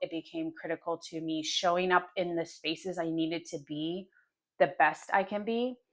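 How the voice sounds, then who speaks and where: Over a quiet background, a woman with an American accent has a plain, everyday voice, a fairly low pitch, fairly even intonation and a moderate pace. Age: 40s. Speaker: lifestyle vlogger. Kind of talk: casual monologue.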